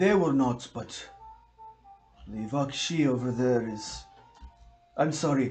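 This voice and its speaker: A man in a put-on character voice at medium pitch, fairly slow, with long, frequent pauses over faint background music. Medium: actual play. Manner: hesitant, apologetic.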